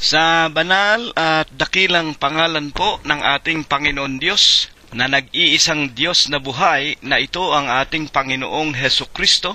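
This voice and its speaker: A man speaks at a fairly high pitch with ordinary variation and very even loudness. His pace is fairly slow with hardly any pauses, over noticeable background noise. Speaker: church preacher leading a Bible study. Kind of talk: sermon / Bible study preaching.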